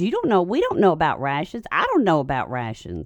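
The voice carries an American accent. Vocal fry runs through it. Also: woman. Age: 50s. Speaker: parenting commentator. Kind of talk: casual chat.

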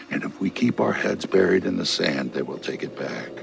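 A man talks while clear background noise carries through. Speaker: guest. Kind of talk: casual studio chat, movie talk. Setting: studio.

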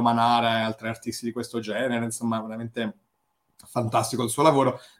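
This man talks at a very fast pace in a monotone, flat intonation and a medium pitch. The recording is very clean and the background silent. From Rome. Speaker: podcast host. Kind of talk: casual interview chat.

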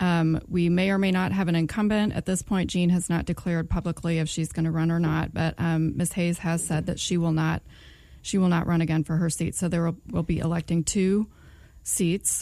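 A woman speaks at a fairly quick pace in a fairly low pitch, her dark, mellow tone held at very even loudness with monotone, flat intonation, on a very clean recording with a silent background. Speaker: school board chair. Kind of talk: interview.

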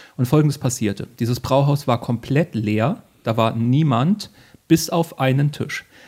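The voice is somewhat breathy, at a fairly slow pace. Its pitch varies in an ordinary way. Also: man, medium pitch for a man. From northern Hesse, Germany. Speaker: podcast host and comedian. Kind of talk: casual chat. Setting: living room at night.

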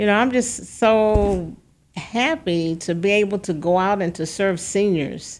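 At a fairly slow pace, a woman talks in an ordinary speaking voice with medium pitch and ordinary pitch variation. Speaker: community leader guest. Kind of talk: radio interview. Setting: studio.

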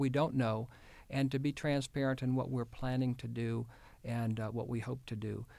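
A man speaks in a plain, everyday voice with an American accent. His pitch is medium and his intonation fairly even. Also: very clean recording, silent background. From Houston, Texas. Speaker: state health official, physician. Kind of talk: interview.

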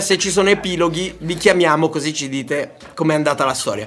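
A man talks at a very fast pace in a high pitch and an animated tone. Noticeable background noise sits behind him. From Sicily and Tuscany, Italy. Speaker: radio call-in show host. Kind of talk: casual call-in banter.

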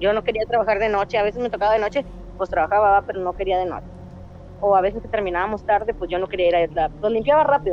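A woman's very fast speech at medium pitch, with ordinary pitch variation, big swings in loudness and noticeable background noise. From Reynosa, Tamaulipas, Mexico. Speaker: caller, former hotel maid. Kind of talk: storytelling. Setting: phone call.

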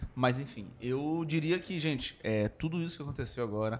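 Ordinary pitch variation marks a man's speech, which moves at a moderate pace. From Belém do Pará, Brazil. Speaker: podcast guest, member of a comedy group. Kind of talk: casual comedic chat. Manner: halting, repetitive.

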